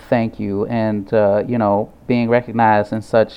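A man speaks with a Midwestern accent at a fairly low pitch. His intonation is monotone and flat. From St. Louis, Missouri. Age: 20s. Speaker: artist. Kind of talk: radio interview.

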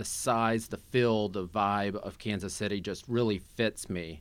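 Using a normal speaking voice, a man with an American accent speaks at a fairly slow pace in a fairly low pitch with fairly even intonation. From Southeast Missouri. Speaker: state legislator. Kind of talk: political interview. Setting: studio.

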